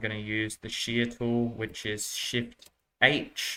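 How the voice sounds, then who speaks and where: A man speaks at a medium pitch with an Australian accent and a bright, sharp tone. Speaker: animation tutorial creator. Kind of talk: tutorial. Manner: casual, hesitant with fillers.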